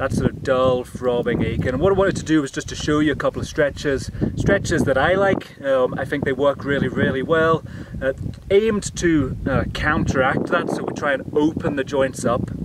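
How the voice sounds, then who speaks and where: A man at a moderate pace with ordinary pitch variation, dry sound with no echo and loud background noise. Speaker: presenter. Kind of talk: tutorial. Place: open country.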